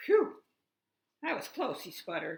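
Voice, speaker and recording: At a moderate pace, a woman performs in a put-on character voice. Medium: read story. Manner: energetic.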